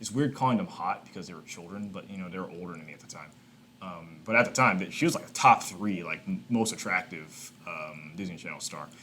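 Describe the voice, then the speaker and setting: A man with an American accent and a very deep, low voice, at a fairly quick pace, with ordinary pitch variation and big swings in loudness. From Texas, Houston. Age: 20s. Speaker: YouTuber. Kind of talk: casual reaction commentary. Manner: animated.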